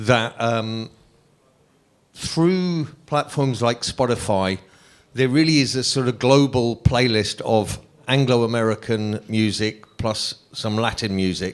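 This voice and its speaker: Very slow, medium-pitched speech from a man with ordinary pitch variation, on a very clean recording with a silent background. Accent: London. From London, England. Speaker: music manager. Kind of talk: panel discussion.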